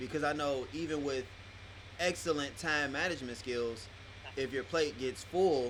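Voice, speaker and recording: With ordinary pitch variation and a moderate pace, a man talks in a normal speaking voice that sits fairly high. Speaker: podcast host. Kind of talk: interviewer questions. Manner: casual.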